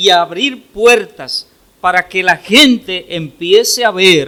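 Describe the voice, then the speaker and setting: A man's raised, projected voice at a very slow pace. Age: 60s. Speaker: pastor. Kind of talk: sermon.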